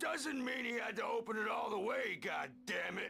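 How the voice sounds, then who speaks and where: A raspy, shouted put-on character voice at a moderate pace, with clear music in the background. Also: man, extremely high pitch for a man. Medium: video game. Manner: hippie slang, gruff.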